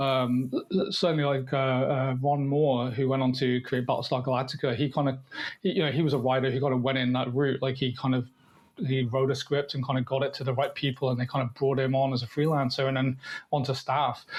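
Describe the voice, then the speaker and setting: Fairly quick and somewhat breathy, a man talks at a medium pitch. His intonation is monotone and flat, and his loudness stays very even. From Devon, southwest England. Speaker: writer and filmmaker. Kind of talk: interview conversation. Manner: halting, many fillers and repeats.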